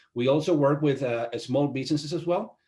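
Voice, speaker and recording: A man with a Spanish accent talks at a fairly quick pace with ordinary pitch variation. The recording is very clean, with a silent background. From Venezuela. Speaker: IT company owner. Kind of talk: interview. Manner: halting, many fillers.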